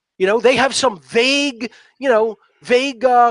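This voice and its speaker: Extremely high male voice in an animated tone with a South Philadelphia accent, at a moderate pace in a dry, close sound with no echo. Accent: South Philly. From US Northeast, South Philadelphia. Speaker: natural law teacher, guest. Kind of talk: interview monologue. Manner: animated, emphatic.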